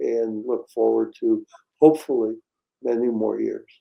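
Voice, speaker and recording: A man is speaking with music playing in the background. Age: 80s+. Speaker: retired dentist. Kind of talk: interview. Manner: halting.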